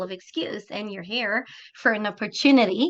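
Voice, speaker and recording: The speaker has a slight French Canadian accent, a fairly slow pace and ordinary pitch variation. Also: woman. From Quebec, Montreal. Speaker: business opportunity presenter. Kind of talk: sales pitch.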